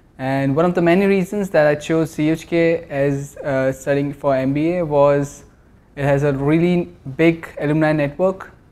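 In an Indian accent, a man speaks at a fairly high pitch. His pace is fairly slow and his intonation fairly even. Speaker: MBA student. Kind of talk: promotional interview. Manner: hesitant, many fillers. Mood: positive, promotional. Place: shop. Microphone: lapel.

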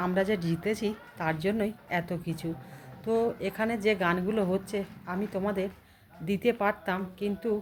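The woman speaks at a medium pitch with fairly even intonation. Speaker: lifestyle vlogger. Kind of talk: casual vlog narration. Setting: office event with stage.

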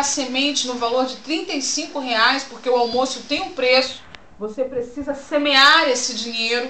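A woman speaks at a moderate pace in a raised, projected voice, with audible room echo and light background noise. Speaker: pastor promoting church event. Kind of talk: announcement with preaching tone. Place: home room. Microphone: webcam.

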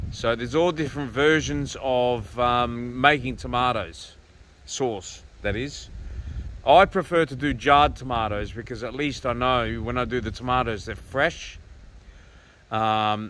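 Light background noise surrounds the speech of a man. No echo colors the dry sound. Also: ordinary pitch variation, fairly slow pace. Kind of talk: casual vlog chat. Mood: relaxed, opinionated. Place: open country. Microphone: phone near.

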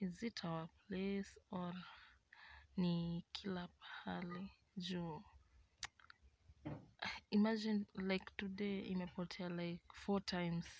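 Very slow, monotone, flat speech from a somewhat breathy woman, with long, frequent pauses and light background noise. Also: dry sound with no echo. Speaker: vlogger. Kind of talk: casual vlog chat. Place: home room. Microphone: phone near.

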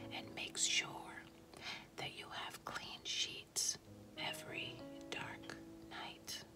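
Whispering at a very slow pace, a woman speaks over clear music in the background. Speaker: ASMR creator. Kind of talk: quiet inspirational reading. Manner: soft-spoken, slow. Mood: calm, tender, soothing.

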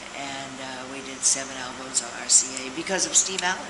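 Loud background noise runs under a woman's speech. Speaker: interviewee. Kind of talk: interview answer. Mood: warm, reminiscing, laughing. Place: hall. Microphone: camera far.

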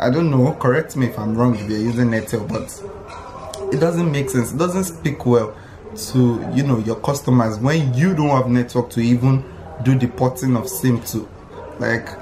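A man talks at a moderate pace with ordinary pitch variation over noticeable background noise. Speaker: vlogger. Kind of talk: casual vlog chat. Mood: annoyed, amused complaint. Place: home room. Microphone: phone near.

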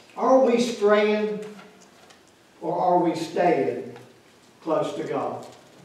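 A man speaks at a high pitch with a slightly mellow tone, heard through strong room echo.

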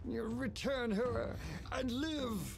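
A put-on character voice, raspy and croaky, comes through over loud background noise.

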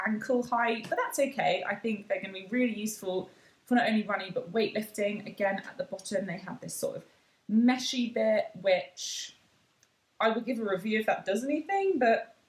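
At a moderate pace, the voice shows ordinary pitch variation and big swings in loudness, with audible room echo. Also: woman. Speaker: fitness vlogger. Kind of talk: casual haul vlog chat. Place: home room. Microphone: phone near.

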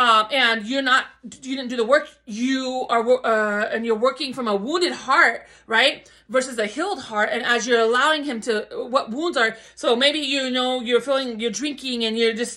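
A woman's high, bright and sharp voice at a moderate pace, with ordinary pitch variation and a quiet background. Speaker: spiritual vlogger. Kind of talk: casual vlog chat, preaching. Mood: fervent, emotional, spiritual. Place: home room. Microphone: phone near.

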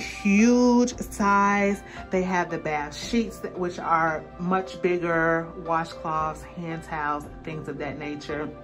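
Over clear music in the background, a woman with a fairly low pitch speaks at a very slow pace. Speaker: lifestyle vlogger. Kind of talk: casual vlog chat. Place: bathroom. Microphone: phone near.

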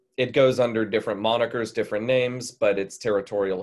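The background stays quiet while a man talks with fairly even intonation. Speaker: history teacher. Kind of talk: lecture. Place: home room. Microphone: webcam.

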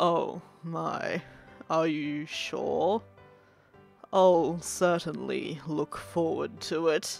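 In a raspy, put-on character voice, someone speaks at a very slow pace with long, frequent pauses over faint background music. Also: woman, fairly low pitch for a woman. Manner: creepy, evil, sugary.

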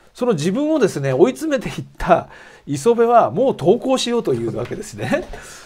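Fairly quick male speech full of very wide pitch swings. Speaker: show host, nonfiction writer; program host. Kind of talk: interview and on-location report. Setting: outdoors on location, then studio. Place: studio. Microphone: lapel.

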